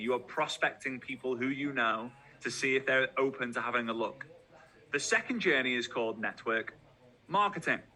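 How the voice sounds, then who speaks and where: With a Liverpool accent, a man speaks at a medium pitch. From Liverpool, England. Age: 30s. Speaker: network marketing trainer. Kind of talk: motivational talk. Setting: video call. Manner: animated.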